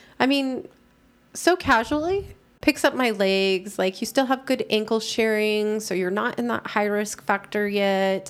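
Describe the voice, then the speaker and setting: A woman's fairly high, lively voice, a normal speaking voice at a fairly slow pace, on a very clean recording with a silent background. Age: 40s. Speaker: patient advocate. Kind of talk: interview.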